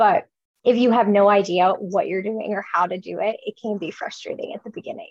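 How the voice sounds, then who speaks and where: An unremarkable speaking voice from a woman with an American accent, medium pitch, ordinary pitch variation, and a fairly quick pace, in a dry, close sound with no echo. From Chicago area, US. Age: 20s. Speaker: food content creator. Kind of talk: casual interview.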